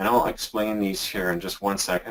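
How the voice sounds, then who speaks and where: Speaking at a moderate pace, a man uses a plain, everyday voice with a fairly low pitch. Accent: Canadian. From Canada. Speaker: internet marketer. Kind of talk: software demo tutorial in a webinar. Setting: webinar call.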